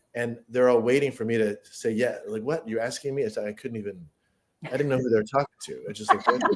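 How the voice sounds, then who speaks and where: A normal speaking voice: a man at a medium pitch, with fairly even intonation. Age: 60s. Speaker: screenwriter and playwright. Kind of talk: panel discussion.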